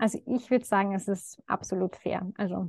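With a medium pitch and fairly even intonation, a woman talks at a fairly slow pace. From Lower Austria (Baden). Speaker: doctor in training, coaching client. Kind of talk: testimonial interview. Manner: hesitant, many fillers.

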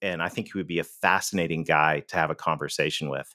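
A man's bright, sharp, enthusiastic and animated voice with ordinary pitch variation, on a very clean recording with a silent background. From Canada. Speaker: business author and sales consultant. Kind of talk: interview. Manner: enthusiastic, animated.

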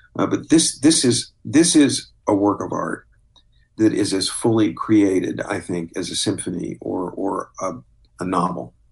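Somewhat breathy and fairly low, a man with an American accent speaks at a fairly slow pace, his pitch swinging very widely. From US Midwest, southeast Missouri. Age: 60s. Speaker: drama critic and author. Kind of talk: casual chat.

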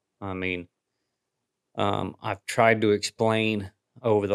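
In a very clean recording with a silent background and a dry, close sound with no echo, a man with fairly low pitch talks in an unremarkable speaking voice with fairly even intonation. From US Midwest. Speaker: coon hound sports figure and media producer. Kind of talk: casual interview chat.

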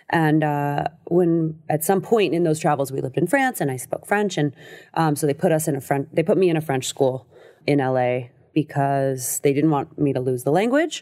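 This woman has a very deep, low pitch and a dark, mellow tone. She talks at a moderate pace with a Californian accent. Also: ordinary pitch variation. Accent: Californian American English. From Los Angeles, US West Coast. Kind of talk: casual interview about addiction recovery. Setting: podcast studio booth.

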